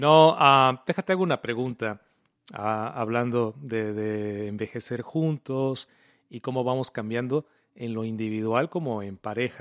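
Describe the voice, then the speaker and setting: A man has an unremarkable speaking voice at a medium pitch, with ordinary pitch variation and a fairly slow pace. The recording is very clean and dry, close with no echo, against a silent background. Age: 40s. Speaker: podcast host and radio announcer. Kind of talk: casual chat.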